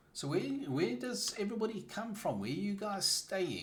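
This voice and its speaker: A man speaks in a South African accent at a moderate pace, with very wide pitch swings. Noticeable background noise and audible room echo are present. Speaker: gaming streamer. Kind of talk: casual live-stream chat. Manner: halting, with many fillers and restarts.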